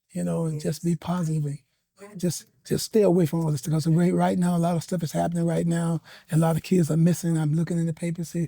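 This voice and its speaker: A man with an American accent and a high pitch speaks very fast in a flat monotone, his tone dark and mellow, the sound dry and close with no echo. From Ohio, US. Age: 70s. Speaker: soul singer. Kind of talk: interview. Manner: halting, many fillers.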